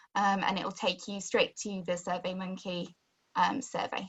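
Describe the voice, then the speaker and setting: A woman is talking. There is a somewhat breathy quality to her voice. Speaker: webinar host. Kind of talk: webinar closing remarks. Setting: online webinar.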